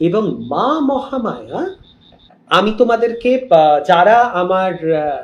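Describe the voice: The voice belongs to a man. The room adds audible echo.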